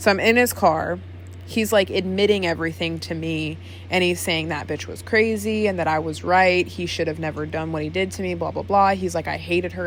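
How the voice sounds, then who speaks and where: Fairly quick, animated speech with audible room echo. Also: woman. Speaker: vlogger. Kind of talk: casual vlog monologue. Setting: home, sitting in chair on camera. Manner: fast.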